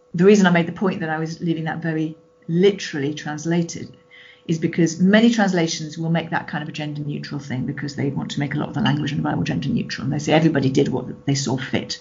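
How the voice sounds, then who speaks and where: Speaking very fast over noticeable background noise, a woman has a very deep, low pitch. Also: ordinary pitch variation. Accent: British. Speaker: Baptist minister and Bible scholar. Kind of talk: interview.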